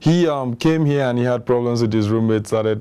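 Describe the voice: A man speaks at a moderate pace with a medium pitch and ordinary pitch variation. His tone is clear and smooth, yet dark and mellow.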